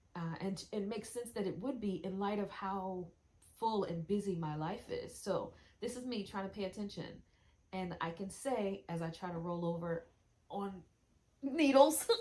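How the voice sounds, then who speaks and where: A woman's voice sits at a medium pitch, moving at a moderate pace with ordinary variation in pitch. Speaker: wellness practitioner. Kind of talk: casual video demonstration. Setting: lying on acupressure mat on camera. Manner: halting, stumbling over words.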